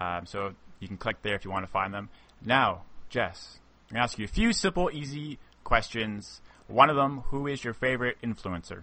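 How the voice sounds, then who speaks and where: With lively intonation, a man talks at a medium pitch and moderate pace. It is an ordinary speaking voice. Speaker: podcast host. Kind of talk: casual interview chat.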